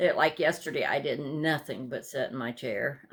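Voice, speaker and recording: Her very deep, low pitch carries vocal fry and fairly even intonation, and the woman is heard on a very clean recording with a silent background. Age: 60s. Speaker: cross-stitch vlogger. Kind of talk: casual chat. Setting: home sewing room, filmed to camera. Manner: halting, many fillers.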